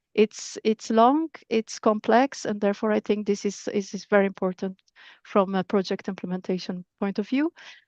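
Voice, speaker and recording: A woman talks at a moderate pace in a medium pitch, with ordinary pitch variation. The sound is dry and close with no echo, over a quiet background. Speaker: project coordinator presenting at a webinar. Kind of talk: webinar presentation. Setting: online webinar. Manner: halting, many repetitions and fillers.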